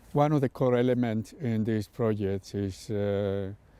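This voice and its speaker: Speaking with a Spanish accent, a man uses a dark, mellow tone at a medium pitch. His pace is very slow and his intonation fairly even. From Spain. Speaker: artist. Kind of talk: interview. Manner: hesitant, many fillers.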